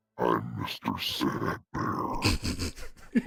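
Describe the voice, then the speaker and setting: A man does a put-on character voice that is raspy, with a very deep, low pitch. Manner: sad, mournful.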